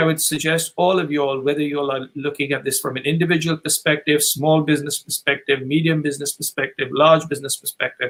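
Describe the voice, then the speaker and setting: A man with an ordinary speaking voice talks with fairly even intonation at a fairly high pitch. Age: 60s. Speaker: author and business advisor. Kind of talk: webinar talk.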